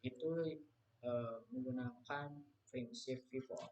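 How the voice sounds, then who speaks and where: With ordinary pitch variation, a man's voice comes out somewhat breathy. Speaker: university student. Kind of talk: class presentation. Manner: halting.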